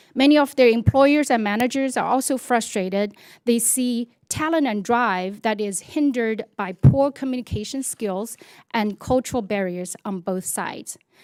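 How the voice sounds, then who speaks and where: On a very clean recording with a silent background, a woman speaks at a moderate pace. Her voice is fairly high, with ordinary pitch variation. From China. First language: Chinese. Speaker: business owner, communication coach, former broadcaster. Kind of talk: congressional hearing testimony. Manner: formal.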